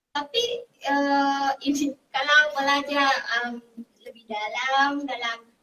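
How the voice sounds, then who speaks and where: A woman with a Vietnamese accent speaks in a raised, projected voice. Her pitch is high and her tone bright and sharp. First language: Vietnamese (speaking Indonesian). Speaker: university language lecturer. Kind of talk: interview. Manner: halting, many fillers.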